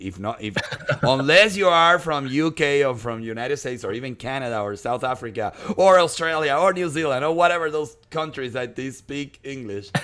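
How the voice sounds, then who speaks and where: Lively in intonation, a man talks at a fairly quick pace with a bright, sharp tone. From Venezuela. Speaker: esports caster. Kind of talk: live commentary.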